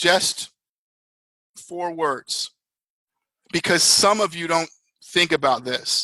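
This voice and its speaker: Loud and very slow, a man speaks in a high pitch with a bright, sharp tone, ordinary pitch variation and long, frequent pauses, recorded dry and close with no echo. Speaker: network marketing leader. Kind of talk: motivational talk. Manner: animated.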